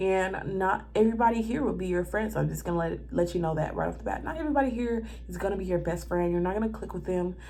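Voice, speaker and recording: Animated and very fast, a woman talks with an American accent amid audible room echo. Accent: Southern US, country, toned down for camera. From US South. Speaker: flight attendant and vlogger. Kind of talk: casual vlog, life update and tips.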